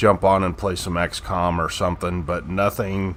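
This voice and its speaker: With a very deep, low pitch and vocal fry, a man talks at a moderate pace with ordinary pitch variation. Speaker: gaming youtuber. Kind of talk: gameplay commentary. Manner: halting; casual.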